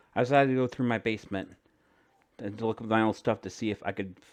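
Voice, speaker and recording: At a very fast pace, a man talks in a fairly low pitch with ordinary pitch variation. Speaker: amateur creepypasta narrator. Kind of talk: horror story narration. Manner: stumbles over words.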